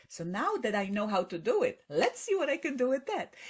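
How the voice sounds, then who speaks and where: A woman with a Polish accent speaks in a high pitch that swings very widely. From Poland. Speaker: best-selling author and public speaker. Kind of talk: podcast interview.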